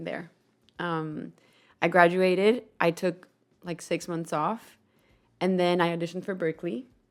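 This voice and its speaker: Speaking with a Spanish accent at a fairly slow pace, with long, frequent pauses and fairly even intonation, the voice sits on a very clean recording with a silent background. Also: woman, fairly low pitch for a woman. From Colombia. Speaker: podcast host and musician. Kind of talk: casual chat.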